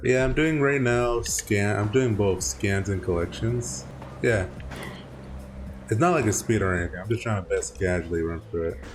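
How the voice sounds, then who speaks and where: Very wide pitch swings mark a man's fairly low voice, heard over noticeable background noise. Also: moderate pace. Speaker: gaming streamer. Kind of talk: casual gameplay commentary. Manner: halting, many false starts and repetitions.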